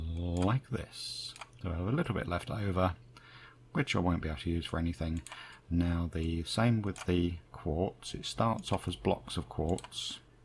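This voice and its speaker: In a British accent, a man with a very deep, low pitch and a somewhat breathy voice talks at a fairly slow pace with ordinary pitch variation. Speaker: gaming youtuber. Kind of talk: gameplay commentary. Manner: casual, chatty with fillers.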